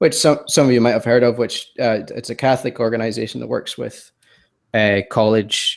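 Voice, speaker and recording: With an American accent, a man speaks at a moderate pace in a very clean recording with a silent background. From Scotland, Glasgow. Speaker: web developer and designer. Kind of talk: podcast interview. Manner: hesitant, many fillers.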